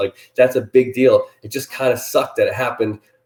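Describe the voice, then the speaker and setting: The man sounds animated. He talks at a very fast pace. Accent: American. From New Jersey. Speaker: animal rescue charity founder. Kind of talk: appeal for sponsors to camera. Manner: loud.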